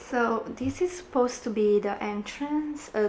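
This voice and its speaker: The speaker is a woman with a Romanian accent. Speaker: gaming YouTuber and makeup artist. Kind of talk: gameplay commentary. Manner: hesitant, with many fillers.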